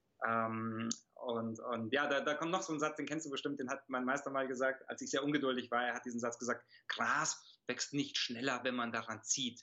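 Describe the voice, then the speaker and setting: A man's normal speaking voice at a moderate pace with ordinary pitch variation. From Germany, childhood abroad (Italy until six). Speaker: martial arts master and speaker. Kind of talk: interview conversation.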